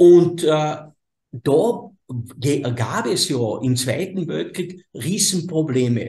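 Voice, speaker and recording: A dark, mellow tone in a Carinthian accent, with lively intonation at a very slow pace. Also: man, fairly high pitch for a man. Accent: Carinthian Austrian German. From southern Carinthia, Austria (Slovene minority). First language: Slovene (speaking German). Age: 60s. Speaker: energy healer. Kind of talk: interview conversation. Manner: halting, self-correcting.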